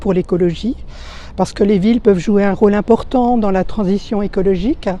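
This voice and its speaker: A woman with a medium-pitched voice talks at a fairly quick pace and fairly even intonation over noticeable background noise. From France, Belfort. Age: 60s. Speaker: retired civil servant, municipal election candidate. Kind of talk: campaign testimony to camera. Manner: hesitant, with frequent fillers.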